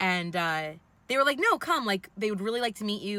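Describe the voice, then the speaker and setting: A woman speaks with a New York accent. Her pace is very fast. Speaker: vlogger. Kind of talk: personal storytelling vlog. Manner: casual, many fillers; loud.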